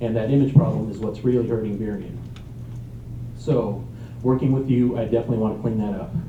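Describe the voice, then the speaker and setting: Medium-pitched male voice speaking with ordinary pitch variation, audible room echo, and noticeable background noise. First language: Spanish. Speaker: council candidate. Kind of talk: candidate forum answer.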